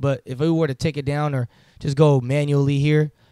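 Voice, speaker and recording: A man speaks in a very clean recording with a silent background, the sound dry and close with no echo. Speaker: music producer. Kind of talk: tutorial. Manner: casual.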